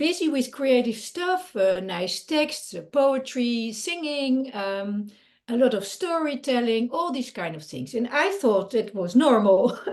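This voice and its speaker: Speaking with a non-native accent, a woman moves at a fairly slow pace with hardly any pauses, her high pitch swinging very widely. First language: Dutch. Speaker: creativity coach and artist. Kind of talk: interview. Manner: halting, many fillers.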